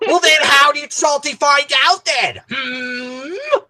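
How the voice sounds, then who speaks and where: High pitch marks this put-on character voice. It moves at a fairly slow pace. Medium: game stream. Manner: grumbling, irritable.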